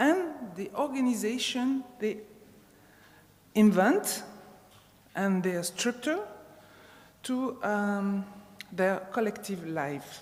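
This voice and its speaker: With a non-native accent, a woman of medium pitch speaks very slowly with lively intonation, leaving long, frequent pauses amid audible room echo. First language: not English. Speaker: sports sociologist, conference speaker. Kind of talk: conference talk. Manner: halting, many fillers.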